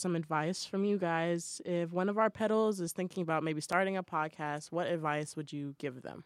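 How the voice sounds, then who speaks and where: In an ordinary speaking voice with an American accent, a woman talks at a fairly quick pace with hardly any pauses, her fairly low pitch varying in an ordinary way. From Boston. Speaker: college radio podcast host. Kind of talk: casual chat. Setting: studio.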